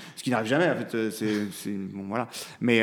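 This man has an unremarkable speaking voice at a fairly low pitch. He moves at a fairly quick pace. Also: very clean recording, silent background. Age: 30s. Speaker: lawyer and father. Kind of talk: casual interview. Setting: recorded at his law office.

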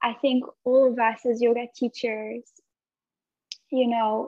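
With a French accent, a woman speaks at a fairly slow pace in a fairly high, flat monotone, the sound dry and close with no echo. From France. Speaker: yoga instructor. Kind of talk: casual interview conversation.

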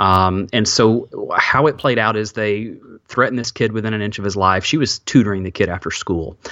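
Noticeable background noise sits behind a man with an Alabama accent. He speaks at a fairly quick pace, with a fairly low pitch and ordinary pitch variation. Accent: Southern US (Alabama). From US South, Alabama. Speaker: former pastor, podcaster and author. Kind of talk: interview, personal testimony. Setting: remote call, hosts cannot see him.

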